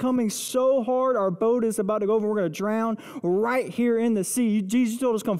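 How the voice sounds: What comes through is a natural reading voice.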